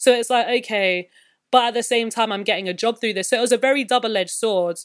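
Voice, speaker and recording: Speaking at a very fast pace, a woman with a fairly high pitch keeps her intonation fairly even on a very clean recording with a silent background. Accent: London. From West London. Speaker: musician and visual artist. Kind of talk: interview.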